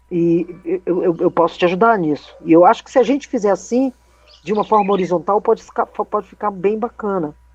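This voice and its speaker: A woman speaks in a normal speaking voice at a medium pitch. The sound is dry and close with no echo. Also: ordinary pitch variation, fairly quick pace. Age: 60s. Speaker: tap dance company director. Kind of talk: online meeting discussion.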